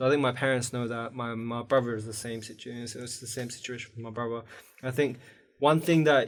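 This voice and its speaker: A man with an Iranian accent talks at a very fast pace and a medium pitch. His intonation is monotone and flat, with big swings in loudness. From Afghanistan, raised in the UK. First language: Farsi. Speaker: university student, podcast guest. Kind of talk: casual chat.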